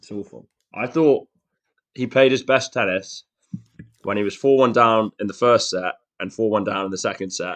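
A man with a West Midlands accent at medium pitch, moderate pace, long and frequent pauses. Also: ordinary pitch variation, dry, close sound with no echo. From Shrewsbury, West Midlands, England. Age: 20s. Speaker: tennis fan, guest co-host. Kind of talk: casual chat.

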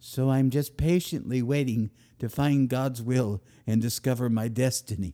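With a dark, mellow tone and very even loudness, a man speaks fairly slowly at a medium pitch with ordinary pitch variation. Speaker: podcast host and author. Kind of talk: comedic monologue. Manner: animated; humorous.

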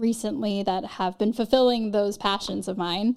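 In a very clean recording with a silent background, a woman with a Californian accent speaks at a moderate pace, her fairly high pitch holding fairly even intonation. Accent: Californian American. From Los Angeles, Marina Del Rey area. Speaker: actress. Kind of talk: casual interview chat.

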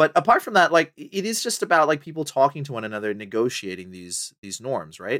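Bright and sharp in tone, a man speaks very fast with very wide pitch swings and big swings in loudness. The sound is dry and close with no echo, on a very clean recording with a silent background. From Botswana. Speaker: professor. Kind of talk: casual chat.

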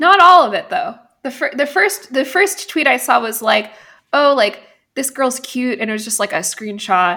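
A woman speaks in a raised, projected voice at a high pitch and a moderate pace. Her pitch swings very widely. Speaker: podcast host. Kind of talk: casual chat.

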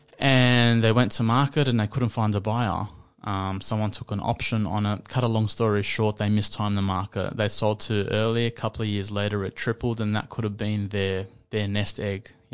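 A man with an Australian accent speaks at a moderate pace in a fairly low pitch. His intonation is monotone and flat, against a quiet background. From Australia, Western Sydney. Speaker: broadcaster and property investor. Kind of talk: casual interview chat.

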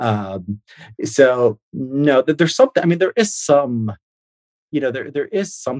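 Lively intonation in an American accent at a fairly slow pace. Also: man, fairly high pitch for a man, dry, close sound with no echo. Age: 30s. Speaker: think tank founder and writer. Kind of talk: interview. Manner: halting, many fillers.

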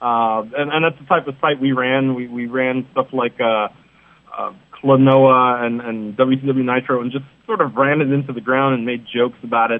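Speaking at a moderate pace, a man with an unremarkable speaking voice keeps a medium pitch and fairly even intonation. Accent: American. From New York City. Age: 30s. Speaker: wrestling columnist. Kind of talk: interview.

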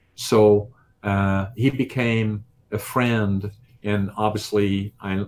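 The recording is very clean, with a silent background. A man speaks at a fairly low pitch in monotone, flat intonation. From Netherlands. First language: Dutch. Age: 70s. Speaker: business owner and bodybuilder. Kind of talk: interview. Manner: halting.

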